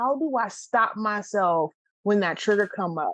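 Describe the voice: A woman speaks at a fairly slow pace. Her tone is fairly bright, with ordinary pitch variation.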